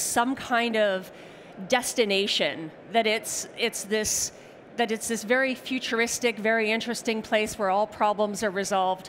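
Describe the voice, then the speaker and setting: In a Canadian accent, a woman with an unremarkable speaking voice talks at a fairly high pitch and a moderate pace. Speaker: technology strategist presenting a seminar. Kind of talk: conference presentation. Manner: conversational, casual fillers.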